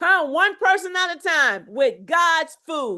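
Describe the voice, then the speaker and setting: A woman's raised, projected voice, extremely high in pitch, bright and sharp with an animated tone, at a fairly slow pace against a quiet background. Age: 50s. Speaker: health coach. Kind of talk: motivational talk.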